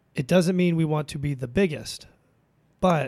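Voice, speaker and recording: A man speaks in a normal speaking voice. His pitch is fairly high and his pace fairly quick. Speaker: financial advisor. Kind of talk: casual chat. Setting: studio.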